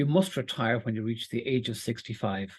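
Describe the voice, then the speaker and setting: The speaker has an Irish accent and keeps a moderate pace. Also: man. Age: 60s. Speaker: employment law presenter. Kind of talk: webinar lecture. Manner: halting, with fillers.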